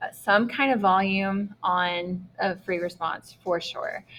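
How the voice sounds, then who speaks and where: Woman's medium-pitched voice with a bright, sharp tone. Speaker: math teacher. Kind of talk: lecture.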